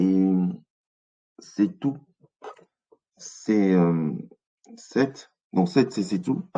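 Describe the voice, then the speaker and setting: With a dark, mellow tone, a man speaks at a very slow pace, leaving long, frequent pauses. His intonation is lively. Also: fairly low pitch for a man. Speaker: teacher leading an online study group. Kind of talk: lecture. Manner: hesitant, many fillers.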